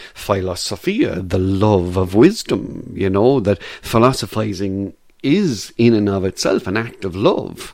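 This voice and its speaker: A man talks with an Irish accent. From Ireland. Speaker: philosophy lecturer. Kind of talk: casual interview. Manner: halting, many fillers.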